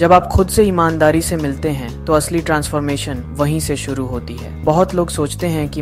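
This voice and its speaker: A man is speaking. Music plays in the background. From India. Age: young. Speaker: voiceover narrator. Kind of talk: spiritual explainer narration.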